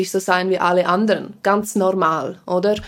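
A woman is speaking. Her pace is very slow. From Switzerland, Engadin (Graubünden). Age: 20s. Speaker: TV presenter and journalist. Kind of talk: interview conversation. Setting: studio.

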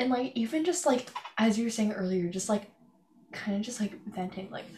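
A woman with a fairly high pitch speaks at a moderate pace, somewhat breathy, with ordinary pitch variation. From Canada. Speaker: podcast host. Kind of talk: casual chat.

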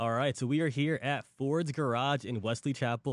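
A man speaks in a normal speaking voice at a fairly quick pace, with ordinary pitch variation. The recording is very clean, with a silent background. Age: 30s. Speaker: podcast host. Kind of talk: interview. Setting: restaurant.

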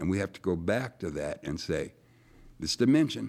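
A man with a fairly low pitch and a normal speaking voice talks at a moderate pace with lively intonation. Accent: American. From Erie, Pennsylvania. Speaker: retired city official. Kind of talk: studio discussion. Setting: studio.

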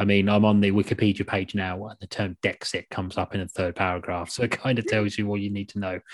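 Delivery is very fast, with hardly any pauses and monotone, flat intonation. The sound is dry and close with no echo. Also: man, fairly low pitch for a man. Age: 30s. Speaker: podcast host. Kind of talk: casual chat.

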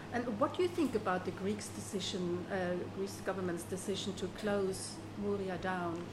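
A woman with a German accent is heard with audible room echo and noticeable background noise. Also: moderate pace. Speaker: podcast host. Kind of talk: interview. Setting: kitchen.

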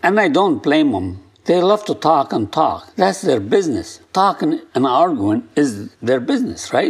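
A man with a non-native accent talks fairly slowly, in a fairly high pitch with vocal fry. His pitch swings very widely, and he hardly pauses. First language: not English. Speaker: podcast host and negotiation coach. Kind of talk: solo instructional talk. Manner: halting, self-correcting.

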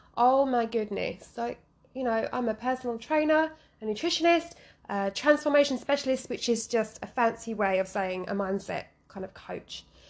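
Over noticeable background noise, a woman with a fairly high voice speaks at a moderate pace in an animated tone with lively intonation. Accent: London. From London. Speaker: fitness podcast host. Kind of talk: casual solo podcast monologue. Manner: animated, giggly.

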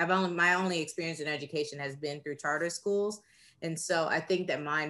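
In a very clean recording with a silent background, a woman speaks in a very deep, low pitch with a bright, sharp tone and fairly even intonation. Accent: American. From Texas. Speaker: teacher and podcast co-host. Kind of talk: casual discussion.

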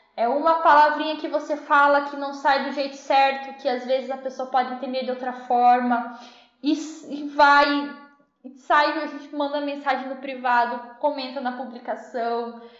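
A woman's high, monotone, flat voice at a moderate pace, with big swings in loudness and audible room echo. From interior of São Paulo state, Brazil. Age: 20s. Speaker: food engineer, dairy quality analyst. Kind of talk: interview.

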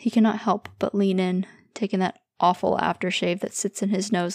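Reading aloud in a natural voice with fairly even intonation, against a quiet background.

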